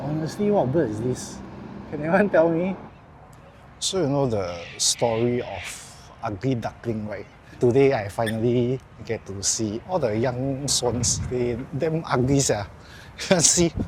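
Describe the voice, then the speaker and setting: A man with a strong Singaporean accent, medium in pitch, lively in intonation, at a fairly slow pace with long, frequent pauses. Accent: heavy Singaporean. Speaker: vlogger, amateur stand-up comedian. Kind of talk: casual travel vlog.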